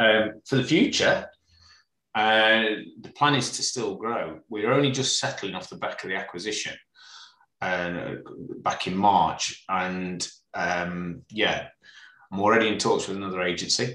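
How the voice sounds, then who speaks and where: Fairly low in pitch with a bright, sharp tone, a man speaks at a fairly slow pace with ordinary pitch variation and long, frequent pauses. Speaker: estate agency director. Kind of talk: casual interview conversation.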